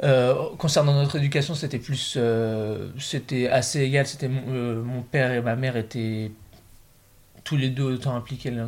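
Speaking with fairly even intonation, a man holds a medium pitch and a moderate pace. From northern France, Picardy (Oise). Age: 20s. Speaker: business student. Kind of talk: casual chat. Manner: halting.

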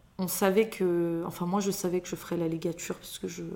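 A woman talks at a moderate pace with a medium pitch and a dark, mellow tone. Her intonation stays monotone and flat. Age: 30s. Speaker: mother of three. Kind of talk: personal testimony interview.

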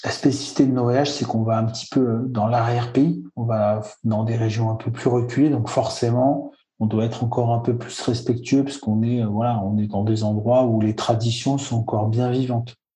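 A man's medium-pitched voice stays monotone and flat at a moderate pace. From French Alps. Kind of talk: interview.

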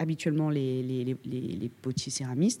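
On a very clean recording with a silent background, a woman speaks. Her tone is dark and mellow, with ordinary pitch variation. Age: 50s. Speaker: ceramicist. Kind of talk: casual chat.

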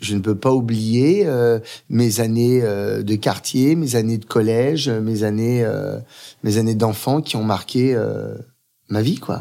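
Over a silent background in a very clean recording, a man speaks at a very slow pace with a dark, mellow tone, medium pitch and fairly even intonation. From Paris suburbs (Aubervilliers). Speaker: chef and restaurant owner. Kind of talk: interview. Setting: restaurant.

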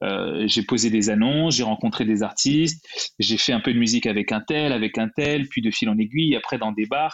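An ordinary speaking voice from a man, moderate in pace, with ordinary pitch variation and very even loudness. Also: medium pitch for a man. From Paris suburbs (Seine-Saint-Denis), Guadeloupean roots. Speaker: music composer. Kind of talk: casual interview.

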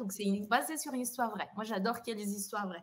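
A woman speaks with a Spanish accent. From Colombia. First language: Spanish (speaking French). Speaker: entrepreneur and event organizer. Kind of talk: interview.

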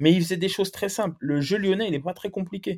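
The recording of this man is very clean, with a silent background. His pitch varies in an ordinary way. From Lyon, France. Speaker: football coach, former pro player. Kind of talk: podcast interview. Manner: halting.

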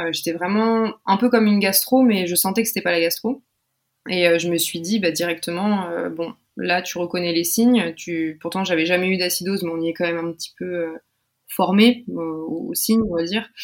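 A woman's plain, everyday voice, fairly low-pitched, with ordinary pitch variation and a moderate pace. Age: 20s. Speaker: psychology student with type 1 diabetes. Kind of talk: interview about personal health experience.

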